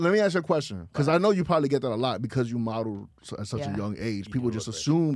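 In a New York accent, the speaker races at a very fast pace with lively intonation, the sound dry with no echo. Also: man. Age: 30s. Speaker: podcast host. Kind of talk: casual street slang. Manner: casual, interrupts others. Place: studio. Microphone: studio mic.

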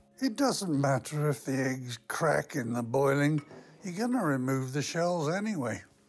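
The speech moves at a fairly slow pace with faint music in the background. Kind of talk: tutorial. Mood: calm, gently humorous. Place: kitchen.

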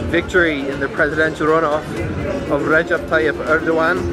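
With clear music in the background, a man talks at a fairly quick pace in a dry sound with no echo. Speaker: travel vlogger. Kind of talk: casual vlog chat. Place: street. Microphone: phone near.

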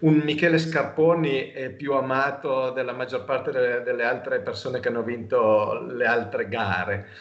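In audible room echo, a man speaks at a moderate pace with ordinary pitch variation. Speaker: cycling podcast host. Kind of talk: casual interview. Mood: warm, enthusiastic about cycling. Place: home room. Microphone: video call.

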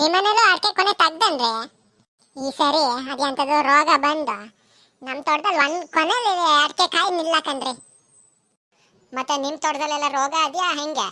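A woman uses a cartoonish character voice, high in pitch and fairly slow in pace. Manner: chatty, folksy.

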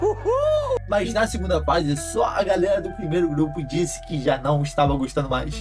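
A man speaks at a moderate pace. Clear music sounds behind him. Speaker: YouTuber on parenting and education. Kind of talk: casual educational talk to camera. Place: home room.

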